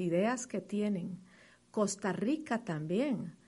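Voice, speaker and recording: Speaking at a very slow pace, a woman uses lively intonation and a medium pitch, her voice somewhat breathy. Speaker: advertising executive. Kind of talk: interview.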